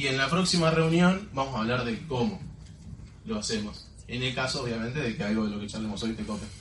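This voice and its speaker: A man at medium pitch speaks with lively intonation at a fairly quick pace. Audible room echo and noticeable background noise accompany him. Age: 20s. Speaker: network marketing distributor. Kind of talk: motivational talk.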